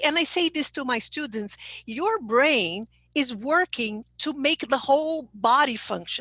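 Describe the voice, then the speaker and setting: In a Portuguese accent, a woman speaks fairly slowly with a high pitch and a bright, sharp tone, the sound dry and close with no echo. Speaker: English teacher trainer. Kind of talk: webinar talk. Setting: online webinar.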